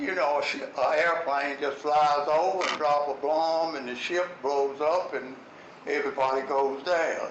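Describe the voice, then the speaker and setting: Noticeable background noise sits under a fairly slow delivery with a monotone, flat intonation. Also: man. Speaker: war veteran. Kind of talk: war memories talk to an audience.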